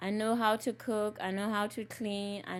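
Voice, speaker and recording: A woman speaks at a fairly slow pace in a medium pitch, with a Lesotho accent and a monotone, flat intonation. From Lesotho, Southern Africa. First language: Sesotho. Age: 40s. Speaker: community activist. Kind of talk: personal interview. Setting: recorded interview.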